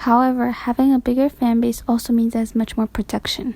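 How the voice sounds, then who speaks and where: Speaking at a very fast pace, a woman with a non-native accent uses a high pitch, a dark, mellow tone and monotone, flat intonation. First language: not English. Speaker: YouTuber, K-pop commentator. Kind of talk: voiceover commentary.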